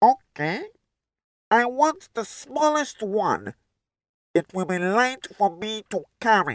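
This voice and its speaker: A cartoonish character voice that sounds female speaks at a fairly high pitch and a fairly slow pace, with long, frequent pauses. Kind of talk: children's storybook.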